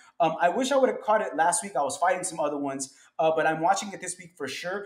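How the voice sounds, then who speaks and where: At a very fast pace, a man with a high pitch shows ordinary pitch variation and big swings in loudness. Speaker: stock market commentator. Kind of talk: tutorial. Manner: casual.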